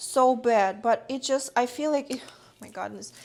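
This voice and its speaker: Mumbling in a non-native accent, a woman speaks at a high pitch with ordinary pitch variation on a very clean recording with a silent background. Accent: noticeable foreign. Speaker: streamer and content creator. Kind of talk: casual livestream chat while cooking.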